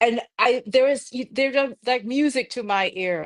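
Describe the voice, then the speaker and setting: A woman speaks at a fairly slow pace with ordinary pitch variation on a very clean recording with a silent background. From Jamaica. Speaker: architect. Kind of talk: live-streamed conversation.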